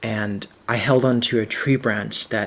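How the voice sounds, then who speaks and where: Here a man speaks with a Cantonese accent at a medium pitch. His intonation stays fairly even. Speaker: visual storyteller and facilitator. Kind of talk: presentation.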